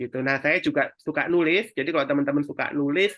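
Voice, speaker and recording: With a strong Javanese accent, a man speaks at a fairly quick pace in a fairly high pitch. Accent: strong Javanese (medok). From East Java, Indonesia (Sidoarjo). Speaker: digital marketing mentor. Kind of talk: webinar presentation. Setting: online webinar. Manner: casual, conversational.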